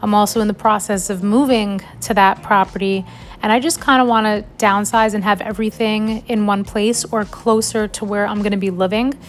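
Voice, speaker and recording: Music plays in the background as a woman with an American accent talks at medium pitch and a fairly quick pace, her intonation fairly even. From New York. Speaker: vlogger. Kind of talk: casual vlog talk.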